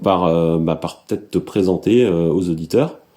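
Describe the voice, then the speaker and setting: A man's voice at a moderate pace, dark and mellow in tone. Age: 30s. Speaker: podcast host, environmentalist. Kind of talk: scripted intro then interview.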